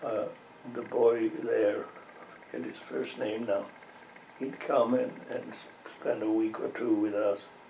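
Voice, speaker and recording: A man speaks at a fairly slow pace. Audible room echo and noticeable background noise surround him. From southern Belgium, French-speaking. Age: 90s. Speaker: elderly interviewee, war memories. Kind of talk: interview. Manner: halting, many fillers and repetitions.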